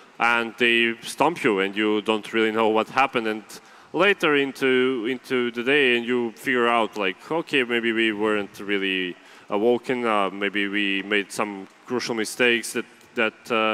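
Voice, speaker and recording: With a Serbian accent, a man speaks at a medium pitch and a moderate pace with fairly even intonation. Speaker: esports analyst. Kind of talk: esports panel analysis. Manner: halting, many repeated words.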